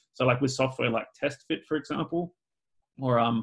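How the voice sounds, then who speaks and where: This recording is very clean, and the background is silent. An Australian accent comes through. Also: man. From Australia (Adelaide). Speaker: BIM specialist and video tutorial creator. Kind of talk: podcast interview. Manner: casual, many fillers and repeats.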